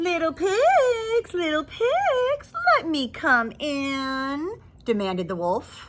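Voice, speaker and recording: A put-on character voice sits at a high pitch and swings very widely up and down. It moves at a very slow pace. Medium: read story. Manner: menacing.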